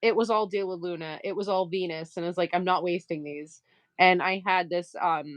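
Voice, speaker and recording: The speaker has a slight Maine accent. The pace is moderate. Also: woman, fairly low pitch for a woman. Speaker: livestream crafter and seller. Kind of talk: casual livestream chat while sewing. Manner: animated.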